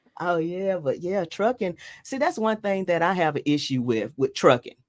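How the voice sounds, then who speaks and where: A woman speaks at a moderate pace in a Southern US accent. Her fairly low voice swings very widely in pitch. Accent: Southern US (Georgia). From Georgia, US South. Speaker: truck driver and podcast host. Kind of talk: casual chat. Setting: live stream.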